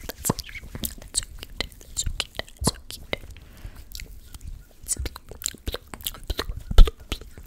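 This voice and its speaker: Whispering comes at a very slow pace with long, frequent pauses. Noticeable background noise sits behind it. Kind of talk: ASMR whispering. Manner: whispered.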